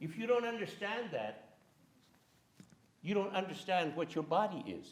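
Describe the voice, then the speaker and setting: Speaking with an American accent, the voice moves at a moderate pace with ordinary pitch variation. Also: man, high pitch for a man. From California (Central Valley, farmworker family). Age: 80s+. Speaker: playwright and filmmaker. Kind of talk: lecture with slides. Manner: animated.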